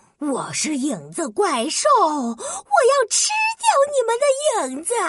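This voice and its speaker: In a put-on character voice, the speaker goes fairly slowly, with an extremely high pitch that swings very widely. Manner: silly, playfully menacing.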